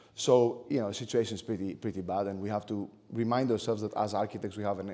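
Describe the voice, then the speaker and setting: A man with a Greek accent talks at a very fast pace in a fairly low pitch, with a dark, mellow tone and fairly even intonation. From Greece. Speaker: architect and lecturer. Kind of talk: lecture. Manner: hesitant, many fillers.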